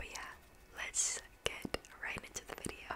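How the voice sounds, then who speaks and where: Someone is whispering. The pace is fairly slow. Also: woman. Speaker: ASMR creator. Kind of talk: soft ASMR talk. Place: home room. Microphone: studio mic.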